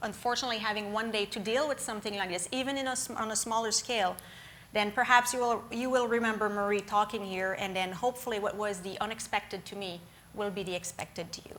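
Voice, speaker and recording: A woman with a French accent speaks at a very fast pace. Her fairly high pitch holds a fairly even intonation. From Quebec, small town of Lac-Mégantic. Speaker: guest lecturer, former emergency management official. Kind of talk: lecture. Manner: somewhat rushed; hesitant, many fillers.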